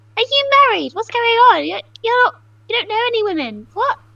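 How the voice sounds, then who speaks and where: A woman's squeaky, put-on character voice at an extremely high pitch, delivered at a fairly quick pace. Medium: actual play. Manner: flamboyant.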